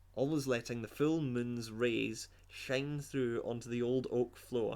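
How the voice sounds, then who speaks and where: This man speaks at a fairly slow pace in a dramatic tone. His pitch is medium, with ordinary variation. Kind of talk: comedic dramatic reading of a story, with asides. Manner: mock-dramatic reading interrupted by sarcastic commentary.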